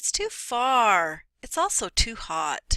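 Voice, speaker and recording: A woman uses a put-on character voice, high-pitched and whiny. She speaks at a very slow pace. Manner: whining.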